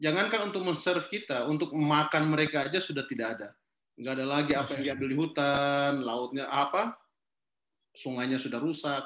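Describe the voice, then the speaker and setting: A man's fairly high voice with a Sulawesi accent, ordinary pitch variation and a fairly quick pace, plus audible room echo. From Kendari, Southeast Sulawesi, Indonesia; Southeast Sulawesi, Indonesia. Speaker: forest activist and social entrepreneur; guest. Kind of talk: online talk interview. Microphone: video call.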